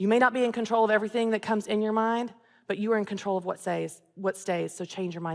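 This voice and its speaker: Speaking at a fairly quick pace in a Southern US accent, a woman with a medium-pitched voice sounds animated. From US South, Tennessee. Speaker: author and business coach, speaker. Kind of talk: inspirational talk. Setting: stage with audience.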